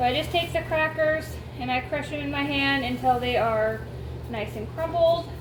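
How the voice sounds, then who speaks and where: At a moderate pace, a woman speaks in a room with audible echo and noticeable background noise. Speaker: homestead cooking vlogger. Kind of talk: cooking tutorial. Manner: loud.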